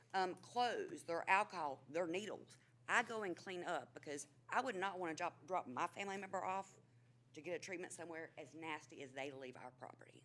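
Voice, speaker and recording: A woman with a North Carolina accent speaks at a fairly quick pace and a fairly low pitch. Her pitch varies in an ordinary way, while her loudness swings widely. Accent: US Southern (North Carolina). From North Carolina, Asheboro area. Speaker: administrative assistant speaking at public comment. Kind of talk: public comment at council meeting. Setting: city council chamber.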